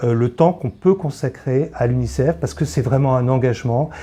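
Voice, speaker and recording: Speaking at a moderate pace, a man has a medium pitch, ordinary pitch variation, and a dark, mellow tone. His voice is somewhat breathy, and the background is quiet. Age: 60s. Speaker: charity volunteer, retiree. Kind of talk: interview testimony. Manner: hesitant, many filler pauses.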